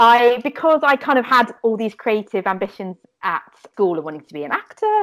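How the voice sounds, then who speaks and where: A woman speaks at a fairly quick pace with a fairly high pitch. Her loudness swings a lot and her pitch swings very widely. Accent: southern English. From southern England, Fleet in Hampshire. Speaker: children's fashion designer. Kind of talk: casual interview chat.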